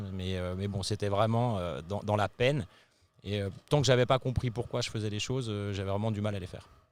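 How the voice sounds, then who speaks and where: In a very clean recording with a silent background, the speaker talks at a fairly quick pace with ordinary pitch variation. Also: man, fairly low pitch for a man. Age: 40s. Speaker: company CEO and co-founder. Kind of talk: interview. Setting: company headquarters office in Paris. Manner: hesitant, many filler sounds.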